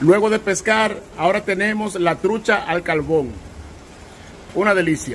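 Over noticeable background noise, a man with a high voice speaks at a moderate pace. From Dominican Republic. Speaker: travel vlogger. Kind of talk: travel vlog narration. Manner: animated.

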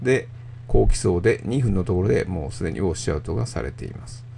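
There is audible room echo. A man talks fairly quickly at a fairly low pitch. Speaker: radiologist. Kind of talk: lecture. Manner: calm, measured with frequent filler pauses.

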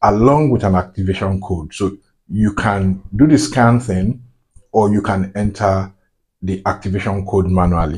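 Against a quiet background, a man with a fairly low pitch speaks at a fairly slow pace, somewhat breathy, with ordinary pitch variation. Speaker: tech tutorial maker. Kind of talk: tutorial. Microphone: phone near.

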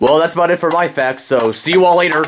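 A man speaks. He uses a cartoonish character voice. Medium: puppet.

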